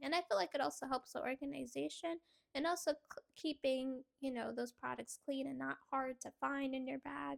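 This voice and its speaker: This woman speaks at a moderate pace in a dry, close sound with no echo. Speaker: lifestyle YouTuber. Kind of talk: casual vlog talk. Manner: hesitant, many fillers.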